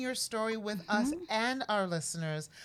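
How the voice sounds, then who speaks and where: The voice moves in very wide pitch swings. Noticeable background noise runs underneath. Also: woman. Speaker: podcast co-host. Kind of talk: casual conversation.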